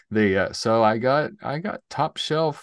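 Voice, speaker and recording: A man speaks with a Southern US accent. His pitch varies in an ordinary way against a quiet background. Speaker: podcast co-host, IT entrepreneur. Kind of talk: casual chat.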